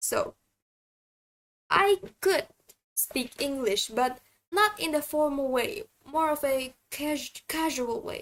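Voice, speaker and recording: A woman with an Indonesian accent speaks at a very slow pace, leaving long, frequent pauses. Her high pitch moves in very wide swings. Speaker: vtuber streamer. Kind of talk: casual livestream chat. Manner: halting, many fillers and restarts.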